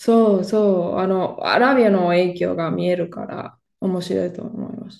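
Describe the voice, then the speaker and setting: A woman with a Spanish accent, medium pitch, fairly even intonation and a fairly slow pace. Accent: Spanish-accented Japanese. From Spain, Barcelona. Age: 30s. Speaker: Spanish teacher. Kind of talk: casual interview. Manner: halting, many fillers.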